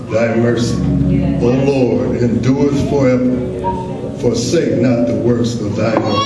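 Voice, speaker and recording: Loud background noise and audible room echo surround the voice. A man speaks at a fairly slow pace. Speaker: scripture reader. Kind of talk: scripture reading. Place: church.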